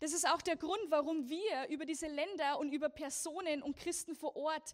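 Ordinary pitch variation comes with a moderate pace of speech. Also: woman. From Lower Bavaria, Germany. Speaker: persecution ministry speaker. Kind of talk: church talk. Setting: church service.

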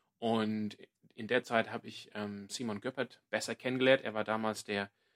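At a moderate pace, a man speaks with medium pitch and fairly even intonation, the sound dry and close with no echo. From Australia, Sydney. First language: English (speaking German). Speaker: podcast co-host, church ministry worker. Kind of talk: casual chat.

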